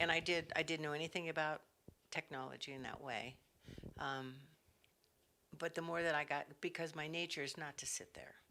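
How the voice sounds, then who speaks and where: A woman with an American accent speaks at a fairly quick pace with long, frequent pauses, her very deep, low pitch carrying a bright, sharp tone and fairly even intonation. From California, San Jose. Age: 70s. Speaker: craft vendor and artisan. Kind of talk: casual interview.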